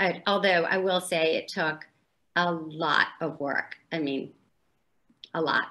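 With an American accent and a bright, sharp tone, a woman of fairly low pitch speaks very slowly, pausing long and often. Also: fairly even intonation. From US South, New Orleans; Louisiana. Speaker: author; interviewee. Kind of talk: casual interview. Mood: warm, friendly. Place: home room. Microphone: video call.

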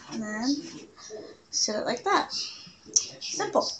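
A woman talks fairly slowly while light noise sits in the background. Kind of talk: casual cooking vlog chat. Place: kitchen. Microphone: webcam.

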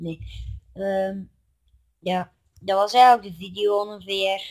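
The background stays quiet. The speech is very slow. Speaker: vlogger. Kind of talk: casual vlog chat. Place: home room. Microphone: phone near.

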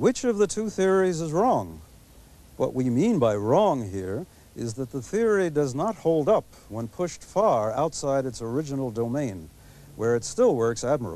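A man's dark, mellow voice at a moderate pace, with very wide pitch swings and a dry sound with no echo. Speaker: TV presenter. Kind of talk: lecture. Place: garden. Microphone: lapel.

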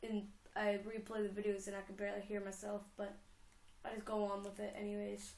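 A woman speaks at a fairly quick pace and medium pitch, with monotone, flat intonation and vocal fry. Her tone is slightly mellow, and audible room echo surrounds it.

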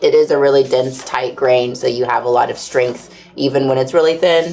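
A woman with a very deep, low pitch, speaking at a fairly quick pace over light background noise. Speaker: livestream host for leather supply company. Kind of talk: casual chat. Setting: studio livestream. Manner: animated. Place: workshop.

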